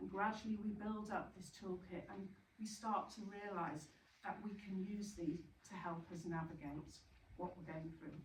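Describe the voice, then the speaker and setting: With audible room echo, a woman at a medium pitch speaks at a moderate pace and with fairly even intonation. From Yorkshire, northern England. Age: 60s. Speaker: bereaved parent speaker, retired teacher. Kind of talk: talk to support group. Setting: retreat venue with audience. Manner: hesitant, many fillers.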